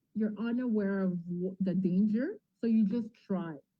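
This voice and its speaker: A somewhat breathy woman's voice in a French accent, medium in pitch, with ordinary pitch variation and a fairly slow pace. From Ontario, Franco-Ontarian. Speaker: TV and radio host. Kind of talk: interview.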